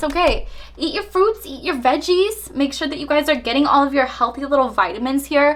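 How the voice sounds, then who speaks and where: Through noticeable background noise, a woman talks in an animated tone at a high pitch and a fairly quick pace. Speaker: tarot reader. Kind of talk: tarot reading monologue.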